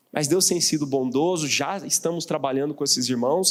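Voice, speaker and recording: Fairly high for a man, this male voice carries lively intonation at a moderate pace with a Mato Grosso accent. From Mato Grosso, Brazil. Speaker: pastor and missionary. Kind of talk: sermon. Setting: church.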